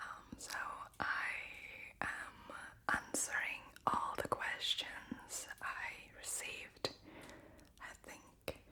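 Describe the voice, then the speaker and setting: Someone whispers at a very slow pace, with long, frequent pauses over noticeable background noise. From Latvia. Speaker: ASMR creator. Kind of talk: whispered Q&A. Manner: whispering.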